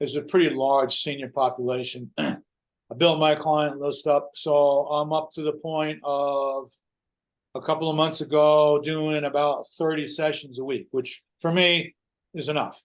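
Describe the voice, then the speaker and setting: A man speaks at a moderate pace in a fairly high, monotone, flat voice over a quiet background. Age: 70s. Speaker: personal trainer. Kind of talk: casual chat.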